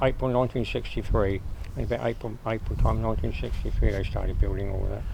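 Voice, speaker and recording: Over noticeable background noise, a man rattles along at a very fast pace with a strong Sussex accent. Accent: broad Sussex. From Sussex, England. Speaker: local resident interviewee. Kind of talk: oral history interview.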